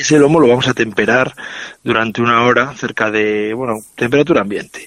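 In a normal speaking voice, a man talks at a fairly quick pace, medium in pitch with ordinary pitch variation. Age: 40s. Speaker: chef. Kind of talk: interview and recipe explanation.

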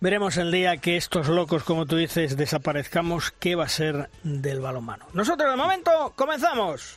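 A man talks with a high pitch. His intonation is lively. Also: moderate pace. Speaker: radio host of a handball show. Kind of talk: sports radio show.

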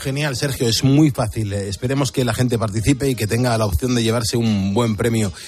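Over noticeable background noise, a man talks with hardly any pauses. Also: medium pitch for a man, ordinary pitch variation, fairly quick pace. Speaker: radio host. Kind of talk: casual chat. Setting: studio. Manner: animated.

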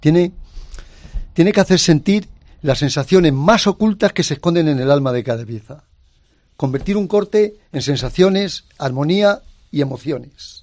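A man with a high pitch and lively intonation speaks at a moderate pace, leaving long, frequent pauses. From Spain, Ávila. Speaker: ham carver. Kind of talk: interview. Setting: studio with live audience. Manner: animated.

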